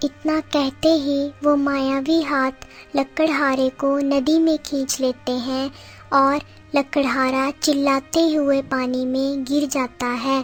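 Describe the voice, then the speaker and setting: Clear music plays in the background of this cartoonish character voice. It speaks at a very slow pace in a monotone, flat intonation. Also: female-sounding voice, high pitch for a woman. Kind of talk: children's cartoon storytelling.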